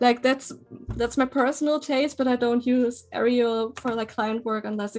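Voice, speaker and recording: A woman's high voice in a German accent, with fairly even intonation and music in the background. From western Germany. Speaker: graphic designer. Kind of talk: casual chat. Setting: live stream.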